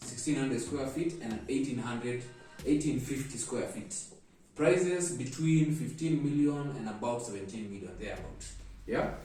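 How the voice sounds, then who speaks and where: A man's medium-pitched voice with lively intonation at a moderate pace, plus audible room echo and music in the background. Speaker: real estate agent. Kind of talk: property tour vlog. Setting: on location walking through an apartment. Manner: loud.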